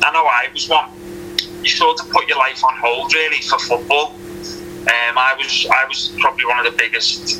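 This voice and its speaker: Amid noticeable background noise, a man with a Liverpool accent talks at a fairly quick pace broken by long, frequent pauses. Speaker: retired professional footballer. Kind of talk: interview.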